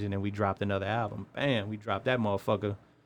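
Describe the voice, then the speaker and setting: A man talks at a very fast pace. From East Chicago, Indiana (US Midwest). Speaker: rapper and tattoo artist. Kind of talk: casual interview.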